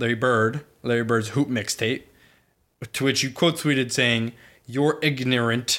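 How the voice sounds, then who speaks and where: A man's ordinary speaking voice at medium pitch, with an American accent, fairly even intonation and a fairly slow pace, in a very clean recording with a silent background. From Boston area, New England. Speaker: college student podcast co-host. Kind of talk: casual chat.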